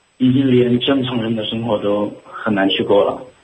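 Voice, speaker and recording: A man speaks at medium pitch in a monotone, flat intonation. There is audible room echo. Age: young. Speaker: caller. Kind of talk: phone-in call. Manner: halting.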